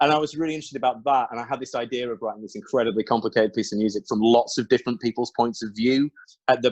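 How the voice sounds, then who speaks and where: Dry and close with no echo, a man with an English accent talks at a very fast pace. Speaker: songwriter. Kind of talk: interview conversation. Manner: animated.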